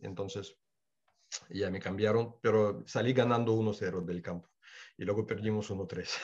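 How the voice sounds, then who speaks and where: Speaking at a fairly slow pace with long, frequent pauses, a man with a Russian accent keeps a fairly low pitch and fairly even intonation. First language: Russian (speaking Spanish). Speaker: former footballer. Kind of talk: interview.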